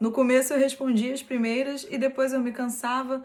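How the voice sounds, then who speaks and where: Speaking at a moderate pace with a strong Rio de Janeiro accent, a woman has a high pitch and ordinary pitch variation. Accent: strong carioca (Rio). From Brazil, Rio de Janeiro state (Nova Iguaçu). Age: 20s. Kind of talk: personal testimony.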